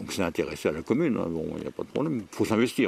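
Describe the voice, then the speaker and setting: A man talks at a very fast pace. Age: 80s+. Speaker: retiree. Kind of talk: interview. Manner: halting.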